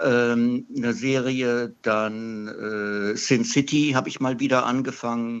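Very slowly and with hardly any pauses, a man speaks at a medium pitch. His intonation stays monotone and flat. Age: 60s. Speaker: radio caller, comic collector. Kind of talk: call-in chat. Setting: phone call.

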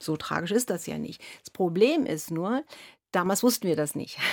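With lively intonation, a woman talks in a very clean recording where the background is silent. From East Berlin, Germany. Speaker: violinist. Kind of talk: radio interview. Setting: radio studio. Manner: halting, many fillers.

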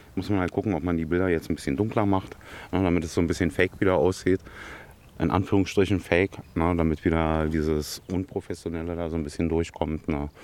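A man's very deep, low voice at a very fast pace, fairly even in intonation, on a very clean recording with a silent background. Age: 50s. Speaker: talent agency manager and photographer. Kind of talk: on-location interview. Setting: outdoors in a forest.

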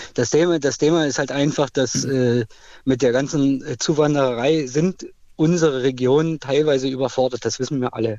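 Moderate pace and a fairly high pitch from a man. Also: fairly even intonation. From Cottbus, eastern Germany. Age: 40s. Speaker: caller. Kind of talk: heated opinion call.

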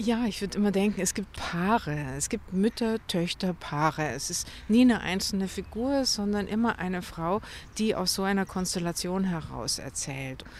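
A woman with an unremarkable speaking voice talks at a moderate pace. Her medium pitch has lively intonation. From Munich, Bavaria. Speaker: novelist. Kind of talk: interview conversation. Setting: outdoors by a lake at a grave.

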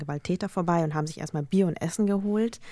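A woman talks at a very fast pace with fairly even intonation. Her voice is fairly low, with a dark, mellow tone. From Germany, Lower Bavaria. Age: 30s. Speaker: journalist and podcaster. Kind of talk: panel discussion. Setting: studio.

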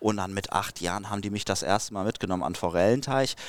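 Very fast speech comes from a man with a fairly low pitch. The recording is very clean, with a silent background. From Dortmund, Ruhr area, Germany. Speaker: fishing YouTuber. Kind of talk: casual interview.

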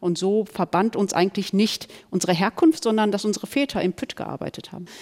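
In a dry, close sound with no echo, a woman uses an ordinary speaking voice with ordinary pitch variation. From Germany, Ruhr area (Duisburg). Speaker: author and columnist. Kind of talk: panel discussion.

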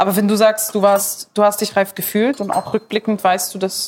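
At a moderate pace, this woman talks with a medium pitch. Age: 20s. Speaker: podcast host. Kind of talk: casual chat while cooking.

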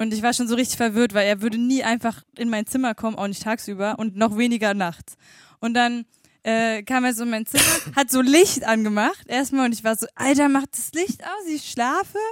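A woman's plain, everyday voice, fairly high in pitch, with ordinary pitch variation and a fairly quick pace. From eastern Germany, Schwedt/Oder. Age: 40s. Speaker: radio co-host. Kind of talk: casual chat.

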